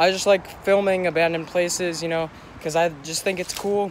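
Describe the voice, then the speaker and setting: A man with a high pitch speaks in a monotone, flat intonation. The sound is dry with no echo, with light background noise. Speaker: vlogger. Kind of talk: casual vlog chat. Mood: a bit wary of getting caught. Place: street. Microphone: phone near.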